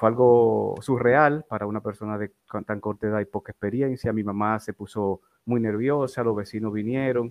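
The man's voice sits fairly low, and his intonation stays fairly even. He speaks at a moderate pace. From Dominican Republic, Santo Domingo. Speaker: former Red Cross rescuer. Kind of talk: interview. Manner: halting, repeats words.

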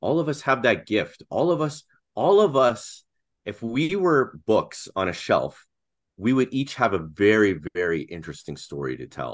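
A man with a Canadian accent, medium pitch and vocal fry, very wide pitch swings, and a very clean recording with a silent background. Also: moderate pace. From Canada. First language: Russian. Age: 40s. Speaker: podcast co-host and design business owner. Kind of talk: casual interview conversation.

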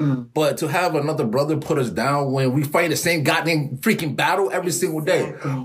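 Very fast speech comes from a man whose loudness stays very even and whose pitch varies in an ordinary way. Noticeable background noise runs underneath. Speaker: podcast host. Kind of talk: casual interview chat.

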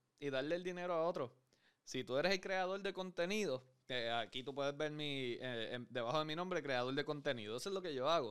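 Over a very clean, silent background, a man with an ordinary speaking voice talks at a fairly quick pace, pitched fairly high with lively intonation. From Puerto Rico. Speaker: podcast host. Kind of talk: casual interview.

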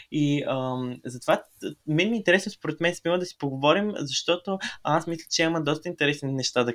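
A man talks at a moderate pace in a plain, everyday voice with ordinary pitch variation. The sound is dry and close, with no echo. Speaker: podcast co-host. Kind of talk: casual chat.

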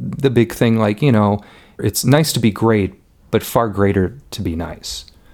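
A man's ordinary speaking voice with an American accent, fairly low in pitch and fairly slow, on a very clean recording with a silent background. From Elmhurst, Illinois, US Midwest. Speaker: film producer and cinematographer. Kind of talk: casual interview chat.

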